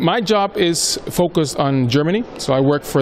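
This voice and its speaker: Noticeable background noise sits behind a man who speaks with an American accent and lively intonation. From Honduras, Tegucigalpa. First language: Spanish. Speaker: corporate strategy manager. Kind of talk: interview. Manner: hesitant, frequent fillers.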